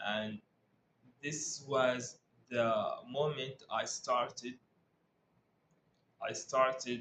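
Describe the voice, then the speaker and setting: A man speaks at a medium pitch with an Arabic accent. His pace is very slow. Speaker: English learner vlogger. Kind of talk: casual talk to camera. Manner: halting, with frequent repetitions and fillers.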